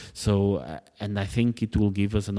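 A man with a Portuguese accent speaks at a moderate pace in a dark, mellow tone. The recording is very clean with a silent background and a dry, close sound with no echo. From Portugal. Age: 30s. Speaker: politician. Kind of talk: interview. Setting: parliament office.

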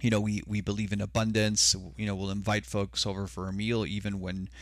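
With an ordinary speaking voice, a man talks at a fairly quick pace in a fairly low pitch and lively intonation, on a very clean recording with a silent background. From Mexico (Sonora), raised in US border region. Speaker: consultant. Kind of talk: casual chat.

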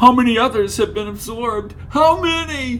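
A man puts on a loud, whiny character voice at an extremely high pitch, speaking at a moderate pace with a whiny tone. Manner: loud, whiny, distressed.

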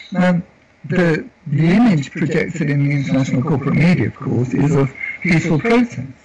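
Noticeable background noise sits behind a man with a fairly high pitch. He talks at a moderate pace with lively intonation. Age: 60s. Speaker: community worker and activist. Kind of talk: interview. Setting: remote call with rain in background. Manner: halting, repeats words.

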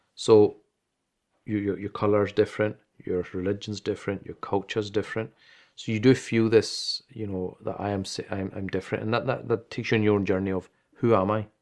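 Against a quiet background, a man with a Glaswegian accent speaks fairly quickly at a fairly low pitch, in a monotone, flat intonation. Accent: Glaswegian Scottish. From Scotland, Glasgow. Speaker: imam and Islamic teacher. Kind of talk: interview.

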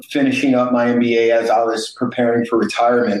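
Speaking at a moderate pace and medium pitch with an American accent, a man has a plain, everyday voice. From East St. Louis, Illinois. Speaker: company founder and navy veteran. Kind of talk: interview.

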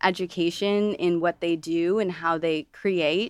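A woman with an American accent has a plain, everyday voice, fairly low in pitch and fairly even in intonation, speaking fairly slowly in a very clean recording with a silent background and a dry, close sound with no echo. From Toledo, Ohio. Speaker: dancer turned fitness studio founder. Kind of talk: interview conversation.

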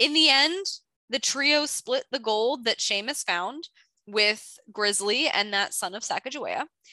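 A raised, projected voice, animated and bright and sharp in tone, moves at a fairly slow pace with lively intonation against a quiet background. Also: woman. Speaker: podcast host. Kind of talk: casual chat, podcast book overview. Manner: animated, chatty.

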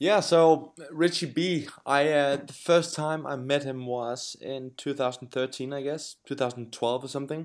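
Fairly high in pitch, a man talks with a Danish accent. The pace is fairly slow and the intonation fairly even. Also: hardly any pauses. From Denmark. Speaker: pro kitesurfer. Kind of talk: interview. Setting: remote call. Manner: hesitant, many fillers.

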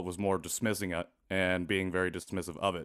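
In a very clean recording with a silent background, a man speaks with a Midwestern American accent. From US Midwest, rural Indiana. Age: 30s. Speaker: adoptee activist and podcast host. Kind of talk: interview.

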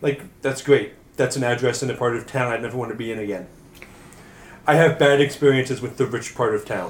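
A man speaks in an ordinary speaking voice at a medium pitch. His pace is fairly quick and his intonation fairly even. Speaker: tabletop roleplaying player. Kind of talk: tabletop roleplaying game session, casual banter.

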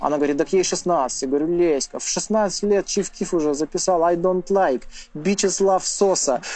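Here a man speaks in a high voice with a dark, mellow tone. His pace is moderate and his pitch variation ordinary. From Russia, Urals. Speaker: musician and video host. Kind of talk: casual chat.

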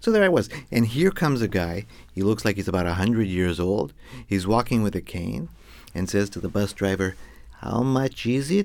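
A man with an American accent, an ordinary speaking voice, fairly low pitch and a moderate pace. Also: ordinary pitch variation. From US West, Los Angeles. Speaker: storyteller. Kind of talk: storytelling performance.

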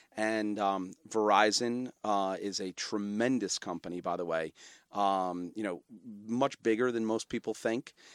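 With an American accent, a man in an unremarkable speaking voice talks at a fairly slow pace and fairly low pitch, his intonation fairly even, in a dry, close, echo-free sound on a very clean recording with a silent background. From Brooklyn, New York. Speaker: media company founder and CEO. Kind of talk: casual interview.

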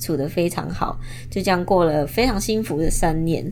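A woman speaks at a fairly low pitch with a Taiwanese accent. Audible echo fills the room. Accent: Taiwanese-sounding Mandarin. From Indonesia. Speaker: podcast host, product designer. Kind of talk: casual monologue. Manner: hesitant, with fillers.

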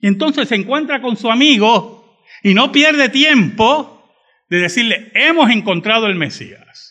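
In a raised, projected voice, a man speaks with extremely high pitch, a bright, sharp tone and lively intonation. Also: fairly slow pace. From Puerto Rico (San Juan, raised in Bayamón). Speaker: pastor. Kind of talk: sermon.

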